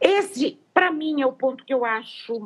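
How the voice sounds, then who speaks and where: Fairly slow in pace, the woman talks with a high-pitched voice. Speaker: veterinary nutritionist, professor. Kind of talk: interview, technical explanation. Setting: Instagram live video call. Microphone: poor audio with dropouts.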